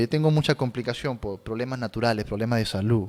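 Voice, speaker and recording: Lively intonation in a man's speech at a medium pitch. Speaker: pastor. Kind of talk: sermon. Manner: hesitant, repeating words; effortful articulation.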